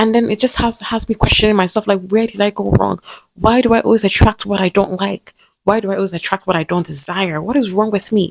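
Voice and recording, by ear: Recorded dry and close with no echo, a woman with vocal fry and a medium pitch speaks at a fairly quick pace with fairly even intonation.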